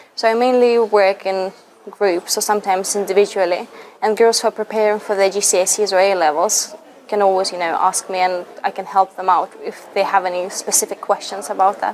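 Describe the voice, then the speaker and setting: Noticeable background noise runs under a woman speaking at a fairly quick pace. She has a Russian accent and fairly even intonation. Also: medium pitch for a woman. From Lithuania. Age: 20s. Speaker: university student, language ambassador. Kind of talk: interview answers.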